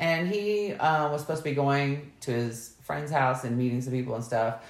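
In a room with audible echo, a woman speaks in an animated tone. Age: 40s. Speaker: podcast co-host. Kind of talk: casual chat.

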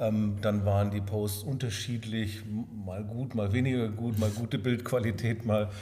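Somewhat breathy and dark, mellow in tone, a man speaks at medium pitch and a fairly slow pace with monotone, flat intonation, and audible room echo. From Swabia, southern Germany (Sindelfingen near Stuttgart). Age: 50s. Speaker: hotel owner. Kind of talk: interview.

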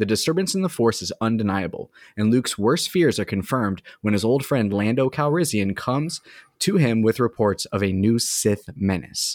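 The speaker has a normal speaking voice and lively intonation. The very clean recording has a silent background and a dry, close sound with no echo. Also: man, medium pitch for a man, moderate pace. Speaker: podcast host. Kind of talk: casual chat. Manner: relaxed, casual.

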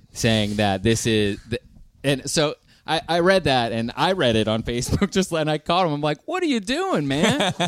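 Against music in the background, a man speaks with an American accent. His pitch is fairly high and swings very widely. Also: moderate pace. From US, Pittsburgh. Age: 30s. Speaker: rock band lead singer. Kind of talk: casual chat. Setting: live stage with audience.

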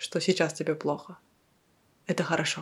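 With ordinary pitch variation, the woman talks in a very clean recording with a silent background. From Kazakhstan, Kyzylorda. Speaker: podcast co-host. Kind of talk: casual chat.

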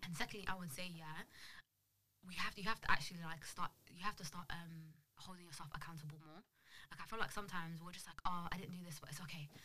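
In a London accent, a woman speaks at a very fast pace and fairly low pitch with a bright, sharp tone, fairly even intonation and big swings in loudness. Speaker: podcast host. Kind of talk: casual chat. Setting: studio.

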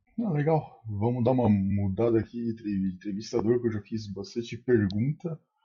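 A somewhat breathy man at a moderate pace, with ordinary pitch variation and hardly any pauses. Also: medium pitch for a man. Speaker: podcast co-host. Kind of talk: podcast interview.

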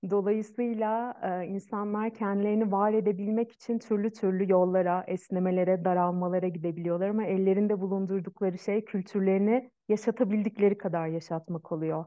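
A woman's normal speaking voice at medium pitch, with fairly even intonation and a moderate pace. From Turkey, Ankara. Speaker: Ayurveda practitioner. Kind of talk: interview conversation. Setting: video call.

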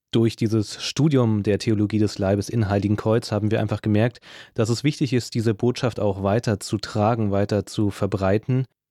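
Very even in loudness and fairly even in intonation, a man speaks at a moderate pace with a fairly low pitch and a dark, mellow tone. The recording is very clean with a silent background and a dry, close sound with no echo. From Brandenburg area near Berlin, Germany. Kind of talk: casual introduction.

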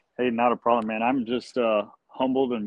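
A man with an American accent at medium pitch and a moderate pace, in a monotone, flat intonation. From Texas, Gonzales County. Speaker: fire captain. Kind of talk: casual interview.

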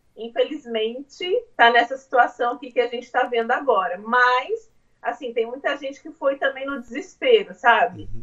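The pace is moderate, with big swings in loudness. Pitch variation is ordinary. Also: woman, high pitch for a woman. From Brazil, interior of São Paulo state. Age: 30s. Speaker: homemaker, immigrant mother. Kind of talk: casual interview. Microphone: phone mic, speaking quietly.

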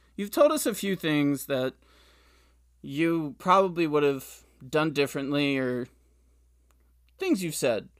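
A man at a fairly high pitch and a very slow pace, in a very clean recording with a silent background. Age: 20s. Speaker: podcast host. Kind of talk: interview.

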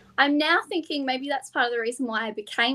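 A woman speaks in a high voice with an Australian accent. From Western Australia. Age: 20s. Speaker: pageant titleholder and primary school teacher. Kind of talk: casual interview. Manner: confident talker, not too fast.

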